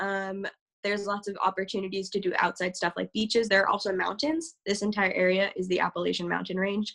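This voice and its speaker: A woman with an American accent at medium pitch, fairly quick and fairly even in intonation, against a quiet background. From US South, Georgia. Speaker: university student presenter. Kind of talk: webinar presentation. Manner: halting, many fillers and repetitions.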